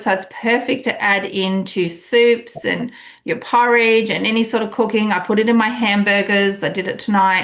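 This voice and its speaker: An enthusiastic woman with an Australian accent, medium pitch and a moderate pace. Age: 50s. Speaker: wellness coach. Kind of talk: online group call presentation. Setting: group call.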